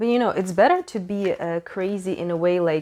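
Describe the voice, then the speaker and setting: In a very clean recording with a silent background, a woman speaks at a medium pitch with a non-native accent. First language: not English. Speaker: tarot reader. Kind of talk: tarot reading monologue. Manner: halting.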